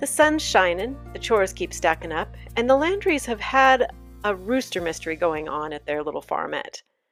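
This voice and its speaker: A woman talks at a fairly quick pace. Music can be heard behind her. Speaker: radio show host. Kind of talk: humorous rural story reading. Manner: folksy, playful, humorous.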